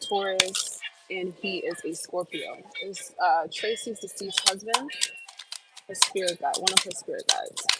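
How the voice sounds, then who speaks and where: Over background music, a woman with an American accent speaks at a fairly slow pace, with long, frequent pauses and big swings in loudness. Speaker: tarot reader and psychic medium. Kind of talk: live-stream tarot reading Q&A. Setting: live stream at work. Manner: occasional stutter in readings; casual, hesitant with many fillers.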